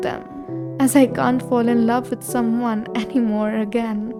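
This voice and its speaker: Speech comes at a moderate pace with music in the background. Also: woman. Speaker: poet. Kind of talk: poetry reading. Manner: wistful, emotional, reflective.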